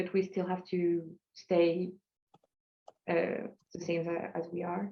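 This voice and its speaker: A woman speaks at medium pitch with a non-native accent. Her pace is fairly slow. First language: not English. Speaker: social enterprise panelist. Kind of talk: panel discussion. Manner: halting.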